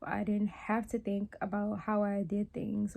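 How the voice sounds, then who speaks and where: A woman speaks at a moderate pace in a fairly high, somewhat breathy voice with a dark, mellow tone. Her intonation stays fairly even. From New Orleans, Louisiana. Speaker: wellness and meditation content creator. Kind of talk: casual talk to camera, personal reflection. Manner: conversational, reflective, candid.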